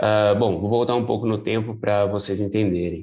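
A man speaks at a moderate pace in a fairly low, dark and mellow voice with a flat, monotone intonation. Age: 30s. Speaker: police clerk and amateur runner. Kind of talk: interview.

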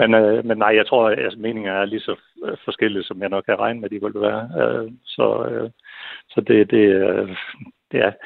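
The man's speech is broken by long, frequent pauses, though his pace stays moderate. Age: 50s. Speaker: listener panel member. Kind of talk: radio phone-in discussion. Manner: halting, heavy word repetition.

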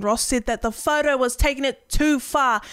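With a New Zealand accent, the woman speaks at a fairly quick pace and keeps her intonation fairly even. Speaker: streamer and podcast co-host. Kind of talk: casual chat.

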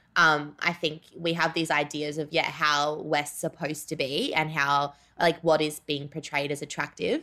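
A woman with an Australian accent, a very deep, low pitch, a bright, sharp tone, monotone, flat intonation, and a moderate pace. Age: 20s. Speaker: writer. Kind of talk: casual chat. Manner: halting, many fillers.

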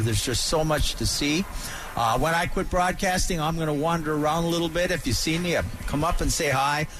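At a fairly quick pace, a man with an American accent and a fairly high voice talks with ordinary pitch variation over noticeable background noise. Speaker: outdoors radio host. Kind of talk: radio talk show. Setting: radio studio.

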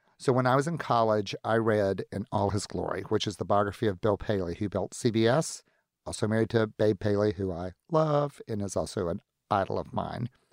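A man with a strong Southern US accent, fairly low-pitched, at a fairly quick pace with ordinary pitch movement, in a dry, close sound with no echo and a very clean recording over a silent background. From US Deep South, Florida panhandle near Pensacola. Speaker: entrepreneur and philanthropist. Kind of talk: casual interview. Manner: flamboyant, witty.

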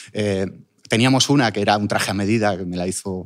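A normal speaking voice moves at a moderate pace on a very clean recording, with a silent background. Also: man. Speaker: sculptor and online business owner. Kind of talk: interview.

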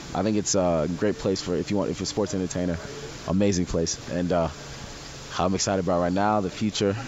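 Over noticeable background noise, a man with a very deep, low pitch talks very fast, keeping very even loudness and fairly even intonation. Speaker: professional wrestler. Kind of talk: casual interview.

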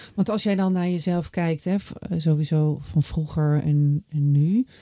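A woman with a normal speaking voice talks at a fairly slow pace and a fairly low pitch with ordinary pitch variation, recorded very cleanly against a silent background with a dry, close sound and no echo. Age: 40s. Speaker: podcast host. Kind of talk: interview; reflective monologue.

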